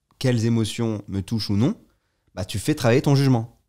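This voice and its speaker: Against a quiet background, a man speaks at a medium pitch with a dark, mellow tone and ordinary pitch variation. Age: 30s. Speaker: podcast guest. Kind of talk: casual chat; interview answer. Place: home room. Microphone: studio mic.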